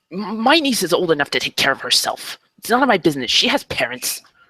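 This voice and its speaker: A man's put-on character voice, high-pitched with very wide pitch swings and a very fast pace, in a dry, close sound with no echo. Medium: actual play. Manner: curt, hostile.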